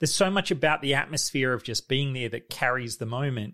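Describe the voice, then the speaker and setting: Fairly high-pitched male voice in an Australian accent. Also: very clean recording, silent background. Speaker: podcast host. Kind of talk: casual chat.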